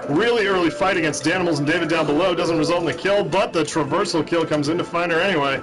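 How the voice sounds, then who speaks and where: A man talks very fast at a high pitch with ordinary pitch variation, over noticeable background noise. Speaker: video game shoutcaster. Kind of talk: sports-style play-by-play game commentary. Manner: fast, energetic.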